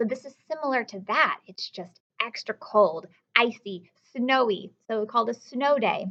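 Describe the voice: The tone is fairly bright. Intonation is lively. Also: woman, fairly high pitch for a woman, moderate pace.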